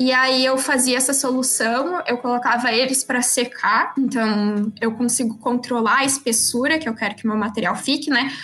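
Noticeable background noise sits behind a woman with a high pitch and fairly even intonation. She keeps a moderate pace, very even loudness and hardly any pauses. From Rio Grande do Sul, Brazil (Osório, north coast). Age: 20s. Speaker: young scientist. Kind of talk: interview.

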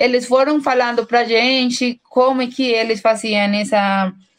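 A high-pitched woman with a Colombian accent, fairly slow and fairly even in intonation. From Colombia, Bogotá. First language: Spanish (speaking Portuguese). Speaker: researcher and teacher. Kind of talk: interview. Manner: halting, many fillers.

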